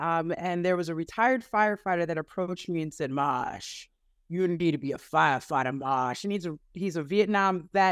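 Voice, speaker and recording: With an American accent and a plain, everyday voice, a woman speaks at a moderate pace in a fairly low pitch with ordinary pitch variation, on a very clean recording with a silent background. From Connecticut, West Hartford area. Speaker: firefighter, fire marshal's office. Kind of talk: group discussion, personal testimony.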